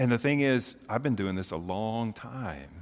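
Heard in a very clean recording with a silent background, a man with an American accent has an unremarkable speaking voice. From Oklahoma and Memphis, US South. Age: 40s. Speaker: pastor. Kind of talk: sermon.

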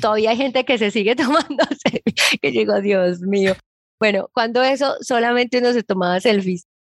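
A woman speaks in a plain, everyday voice at a fairly high pitch. Her pace is moderate, her loudness very even, and her pitch variation ordinary. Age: 30s. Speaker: digital marketing expert. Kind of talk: interview.

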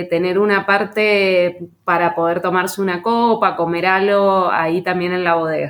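This woman has a normal speaking voice, medium in pitch. She talks at a fairly slow pace. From Argentina, Mendoza. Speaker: winemaker and agronomist. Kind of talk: interview.

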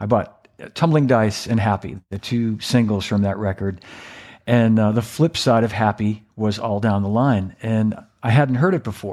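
This man's pitch is fairly low, with ordinary variation. He talks at a moderate pace. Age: 60s. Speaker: drummer and former cymbal company employee. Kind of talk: casual interview. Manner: halting, repeats words.

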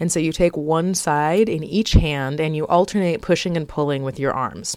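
In an American accent, a woman talks in a normal speaking voice with ordinary pitch variation. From South Florida. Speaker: podcast host and textile artist. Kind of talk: casual solo podcast talk.

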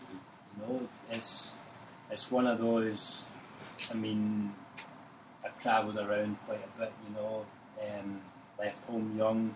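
Over noticeable background noise, a man with a Glasgow accent and a fairly low pitch talks at a very slow pace in a monotone, flat intonation, leaving long, frequent pauses. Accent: Scottish (Glaswegian). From Glasgow, Scotland. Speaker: soccer coach. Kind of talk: casual interview chat.

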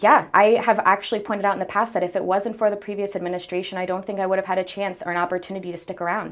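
A woman's very fast speech at a medium pitch, with monotone, flat intonation. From Salisbury, Maryland Eastern Shore. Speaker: city council member and mayoral candidate. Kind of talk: interview.

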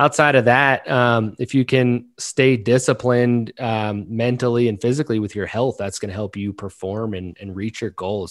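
A man with a fairly low pitch and ordinary pitch variation talks against a quiet background. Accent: slight Southern US. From Maryland, US. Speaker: content marketing founder. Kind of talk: interview. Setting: remote recording. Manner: casual, filler-heavy.

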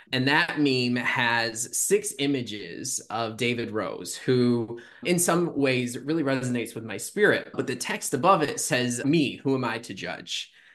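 With an American accent, a man in an ordinary speaking voice talks at a fairly slow pace and medium pitch, using lively intonation and hardly any pauses. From Michigan. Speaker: student affairs professional. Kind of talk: casual chat.

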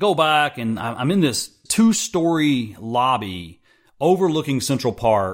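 On a very clean recording with a silent background, a man with an American accent speaks fairly slowly, his fairly high pitch swinging very widely. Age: 40s. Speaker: podcast host and entrepreneur. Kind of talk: solo monologue.

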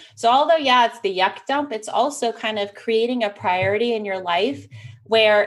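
The recording is very clean with a silent background. A normal speaking voice moves at a moderate pace with lively intonation. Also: woman. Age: 30s. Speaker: business systems expert and online events manager. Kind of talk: casual chat.

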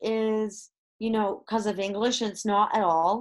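Against a quiet background, a woman with a Canadian accent speaks at a moderate pace in a normal speaking voice with fairly high pitch. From Canada. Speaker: comedian and educator. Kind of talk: interview.

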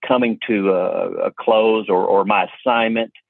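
This man speaks with a Kentucky accent at a medium pitch. His pace is very slow. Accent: Kentucky Southern US. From Kentucky (Hopkinsville). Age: 40s. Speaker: auto appraiser and instructor. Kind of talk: interview conversation. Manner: halting, many fillers and repeats.

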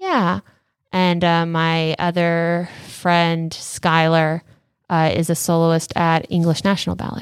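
This woman speaks very slowly with an American accent, her pitch fairly low and her intonation flat and monotone. The recording is very clean, with a silent background. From Southern California. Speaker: ballet dancer. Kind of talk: interview.

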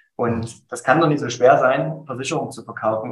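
A somewhat breathy male voice. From Saxony, Germany (Dresden). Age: 30s. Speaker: insurance agency owner. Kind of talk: interview. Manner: dynamic.

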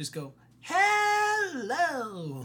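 A put-on character voice. The pitch is high. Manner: menacing villain.

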